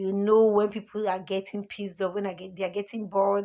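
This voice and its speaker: This woman has a normal speaking voice at medium pitch, with fairly even intonation and a fairly quick pace. The recording is very clean, with a silent background. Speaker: teacher. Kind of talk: lecture.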